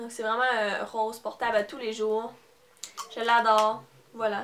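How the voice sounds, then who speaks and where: A woman with a fairly high pitch over noticeable background noise. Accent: Quebec. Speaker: beauty vlogger. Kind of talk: haul video with giveaway. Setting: at home, parents in background. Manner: hesitant, many fillers.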